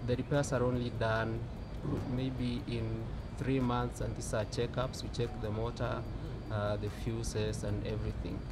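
A man speaks against loud background noise. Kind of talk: interview answer. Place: street.

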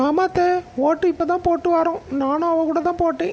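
Using a cartoonish character voice pitched extremely high, a woman speaks in a flat monotone at a moderate pace over light background noise.

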